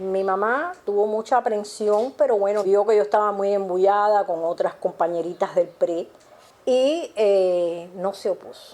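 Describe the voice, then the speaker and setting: A woman speaks at a medium pitch and a fairly slow pace. Her tone is dark and mellow, with ordinary pitch variation. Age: 70s. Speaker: retired literacy volunteer teacher. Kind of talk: interview testimony. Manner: hesitant with fillers.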